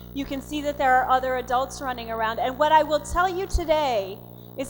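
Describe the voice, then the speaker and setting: A woman with an American accent at a fairly quick pace, ordinary pitch variation, and music in the background. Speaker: physician and conference speaker. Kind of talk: lecture. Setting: stage with audience. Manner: fast.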